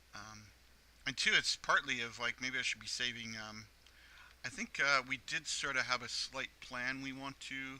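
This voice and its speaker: Bright and sharp in tone, a man's medium-pitched voice moves at a moderate pace with monotone, flat intonation. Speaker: gaming youtuber. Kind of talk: let's play commentary. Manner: halting, many fillers.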